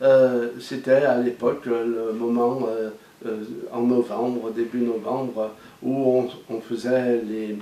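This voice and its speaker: Room echo that is audible, plus background noise that is noticeable. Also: man. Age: 60s. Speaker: former farmer and pastoral educator. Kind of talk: testimony. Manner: halting, many hesitations.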